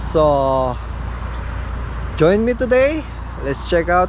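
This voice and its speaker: A woman speaks very slowly in a dry recording with no echo, with noticeable background noise. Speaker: travel vlogger. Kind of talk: casual vlog chat. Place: open country. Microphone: phone near.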